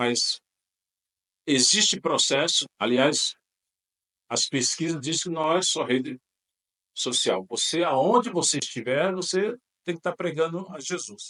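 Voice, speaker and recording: A man with a high pitch and a bright, sharp tone speaks at a fairly slow pace, the sound dry and close with no echo. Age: 60s. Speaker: pastor. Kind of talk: podcast interview. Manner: halting.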